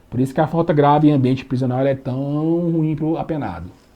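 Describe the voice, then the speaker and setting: A man's dark, mellow, fairly high-pitched voice at a fairly quick pace, with ordinary pitch variation. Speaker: law teacher. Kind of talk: lecture. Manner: casual, colloquial.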